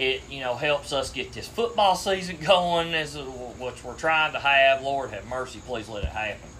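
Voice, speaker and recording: With an Appalachian accent, the speaker goes at a moderate pace in a bright, sharp tone. Pitch varies in an ordinary way, and room echo is audible. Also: man. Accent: Appalachian Kentucky. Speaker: sports podcast host. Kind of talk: casual chat.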